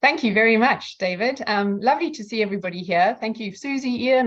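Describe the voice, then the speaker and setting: Speaking at a very fast pace, a woman with a slight South African accent shows ordinary pitch variation. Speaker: outsourcing company representative. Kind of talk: online presentation. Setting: video call.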